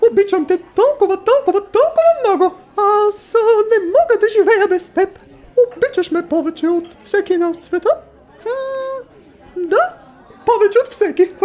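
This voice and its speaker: Squeaky put-on character voice with long, frequent pauses. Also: man, extremely high pitch for a man. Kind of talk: comic parody dub. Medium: solo performance.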